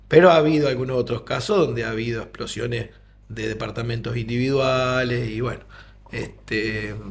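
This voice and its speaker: A man at a moderate pace, medium pitch, fairly even intonation, audible room echo and noticeable background noise. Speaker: doctor, disaster survivor. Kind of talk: interview testimony.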